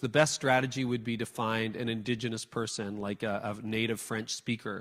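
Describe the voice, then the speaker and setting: This man has an ordinary speaking voice at a medium pitch, with fairly even intonation and a moderate pace. The recording is very clean, with a silent background. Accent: Canadian. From Canada. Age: 50s. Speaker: church leadership speaker. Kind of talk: talk with audience Q&A.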